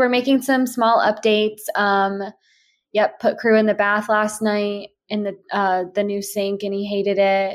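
In a plain, everyday voice, a woman speaks at a moderate pace and fairly high pitch, recorded very cleanly with a silent background. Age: 20s. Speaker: lifestyle podcaster. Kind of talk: casual chat. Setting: at home.

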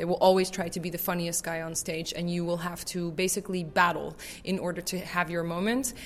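Speaking at a fairly quick pace with an American accent, a woman has an unremarkable speaking voice, fairly low in pitch, with fairly even intonation. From Netherlands, raised in the US. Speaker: improv actor. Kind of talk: interview.

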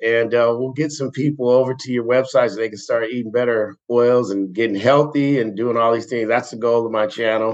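A man's plain, everyday voice at a medium pitch, moderate in pace, with fairly even intonation. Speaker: podcast host. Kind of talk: casual interview chat. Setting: phone call.

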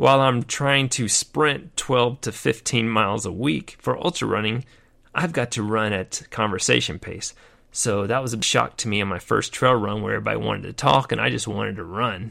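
Recorded very cleanly against a silent background, a man with a medium pitch has a bright, sharp tone and vocal fry. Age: 50s. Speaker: podcast host and retired army veteran. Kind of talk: casual monologue. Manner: halting, with fillers.

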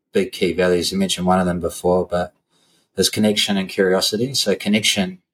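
A man talks with a New Zealand accent. The recording is very clean, with a silent background. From New Zealand, Christchurch. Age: 40s. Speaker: strength and conditioning coach, gym owner. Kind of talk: casual interview chat.

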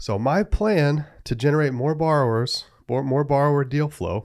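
On a very clean recording with a silent background, a man talks in a plain, everyday voice at a fairly high pitch with ordinary pitch variation. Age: 30s. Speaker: hard money lender. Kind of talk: casual podcast monologue.

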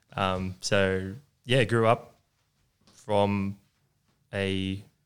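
Long, frequent pauses break up this speech in an Australian accent. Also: man. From Sutherland Shire, Sydney, Australia. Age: 20s. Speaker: business owner. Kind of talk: casual interview.

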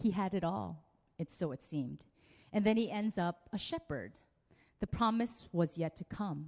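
A woman's fairly low voice with vocal fry, lively intonation, a moderate pace, long and frequent pauses, and a dry, close sound with no echo. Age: 30s. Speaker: pastor. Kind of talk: sermon. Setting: church.

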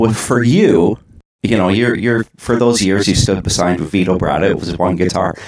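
A man with a fairly low pitch and ordinary pitch variation speaks in a plain, everyday voice. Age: 40s. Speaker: podcast host. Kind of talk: interview.

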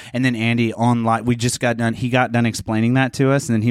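A man's medium-pitched voice with a Midwestern US accent at a very fast pace. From southern Indiana. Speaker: podcast host. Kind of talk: casual comedic banter.

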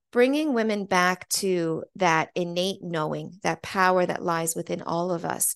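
Speaking at a fairly slow pace with an American accent, a woman keeps a medium pitch and ordinary pitch variation in a dry, close recording with no echo. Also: quiet background. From New York City. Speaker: voice and speaking coach. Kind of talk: interview. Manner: animated.

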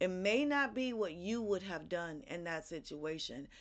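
A woman with an ordinary speaking voice, medium pitch, lively intonation and a fairly slow pace against a quiet background. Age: 40s. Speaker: podcast host, motivational speaker. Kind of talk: motivational monologue.

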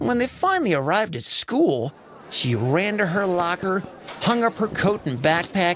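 The voice is an unforced reading voice. Nothing else is noted.

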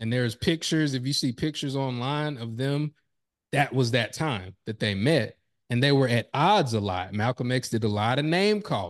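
A man with an unremarkable speaking voice, medium pitch and lively intonation, at a moderate pace against a quiet background. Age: 30s. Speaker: professional speaker. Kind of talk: interview conversation.

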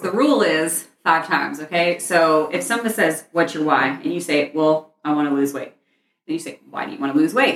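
In an ordinary speaking voice, the speaker keeps a moderate pace and lively intonation. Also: woman, fairly low pitch for a woman. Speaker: fitness coach and podcast host. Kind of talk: casual chat.

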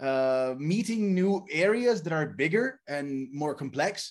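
A man speaks at a very slow pace. His pitch sits high. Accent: Italian. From Italy. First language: Italian. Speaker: game story writer. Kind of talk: casual interview.

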